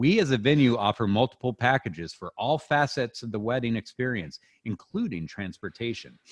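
Hardly pausing, a man with a plain, everyday voice talks at a fairly quick pace and medium pitch with lively intonation. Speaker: podcast host. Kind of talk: comedic podcast banter, reading reviews aloud. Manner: sarcastic, joking.

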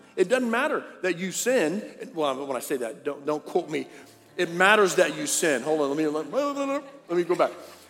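High male voice, animated, with very wide pitch swings and noticeable background noise. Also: moderate pace. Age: 50s. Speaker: pastor. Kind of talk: sermon.

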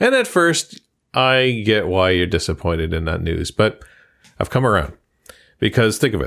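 A playful man's voice, fairly low, at a moderate pace with very wide pitch swings and long, frequent pauses, on a very clean recording with a silent background. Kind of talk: casual chat. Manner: joking, playful.

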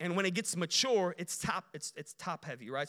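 A Chicago accent at a moderate pace. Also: man. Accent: Chicago American. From Chicago, Illinois (Romanian family). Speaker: guest preacher. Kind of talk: sermon. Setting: church.

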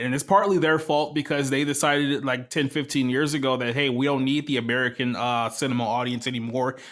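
A man with a medium-pitched voice talks at a fairly quick pace with hardly any pauses. His intonation stays fairly even. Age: 30s. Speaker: movie reviewer. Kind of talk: casual chat.

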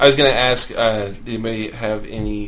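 Amid noticeable background noise, a man talks at medium pitch and a moderate pace. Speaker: podcast host. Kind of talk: casual chat.

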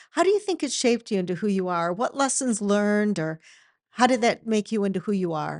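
Against a quiet background, a woman with a plain, everyday voice speaks at medium pitch with lively intonation. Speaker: podcast host and company employee. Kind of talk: casual interview chat.

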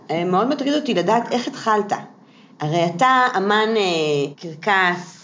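A woman's voice with audible room echo. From Israel, Kfar Saba. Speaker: puppeteer and clown. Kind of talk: scripted intro and casual interview.

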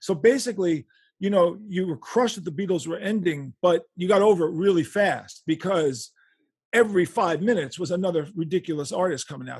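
Speaking in a New York accent, a man talks at a fairly quick pace in a high pitch with ordinary pitch variation. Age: 60s. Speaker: rock guitarist and author. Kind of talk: interview. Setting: remote call from home bedroom.

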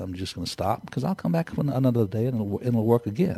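The voice has a dark, mellow tone and is somewhat breathy. It moves at a very fast pace with lively intonation. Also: man. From Texas. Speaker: entrepreneur. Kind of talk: interview. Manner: halting.

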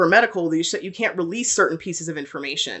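Speaking with an American accent, a woman has a normal speaking voice at a fairly low pitch. Her pitch variation is ordinary. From Texas. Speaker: PhD student researcher. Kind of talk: interview.

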